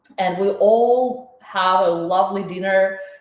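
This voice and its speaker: A woman's voice carries audible room echo. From Ukraine. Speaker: chef and cooking teacher. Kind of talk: live online cooking class. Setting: home kitchen, livestream. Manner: animated.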